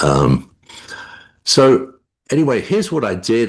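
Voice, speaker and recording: In a London accent, a man speaks with vocal fry and very wide pitch swings against a quiet background. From England, London. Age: 70s. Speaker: amateur astronomer. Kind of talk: interview. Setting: video call. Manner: halting.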